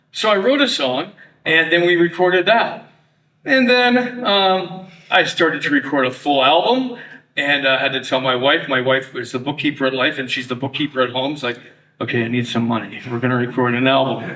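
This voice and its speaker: With a Canadian accent and lively intonation, a man speaks at a fairly high pitch. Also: fairly quick pace. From Toronto, Canada. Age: 60s. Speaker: retired radio broadcaster. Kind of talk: testimony. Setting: luncheon audience.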